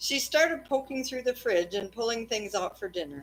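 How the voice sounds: A woman's fairly high voice at a moderate pace, with lively intonation.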